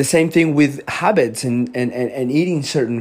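A man speaks with a Spanish accent. His pitch variation is ordinary. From Colombia. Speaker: health podcaster. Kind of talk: solo talk. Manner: conversational, filler-heavy.

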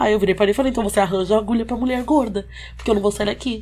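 Vocal fry runs through a woman's voice, and her intonation stays fairly even. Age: 20s. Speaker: social media worker and braider. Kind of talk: casual chat.

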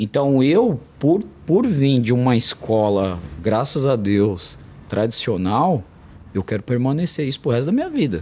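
With an unremarkable speaking voice, a man at medium pitch uses lively intonation at a fairly slow pace. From São Paulo, south zone periphery. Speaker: martial arts coach. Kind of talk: casual interview.

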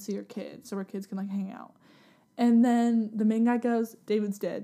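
At a moderate pace, a woman with a fairly high pitch talks in a flat, monotone way, her tone dark and mellow, on a very clean recording with a silent background. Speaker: podcast guest, storyteller. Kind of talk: casual storytelling. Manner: rambling with many fillers.

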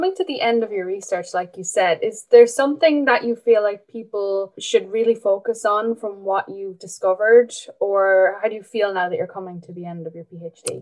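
A woman speaks fairly quickly in a plain, everyday voice, her pitch fairly high with ordinary variation, hardly pausing while her loudness swings widely. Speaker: podcast host. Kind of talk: podcast interview, formal.

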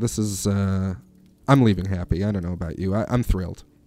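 Very fast speech from a man, with music in the background. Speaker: radio host. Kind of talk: casual radio chat. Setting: studio. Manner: animated, joking.

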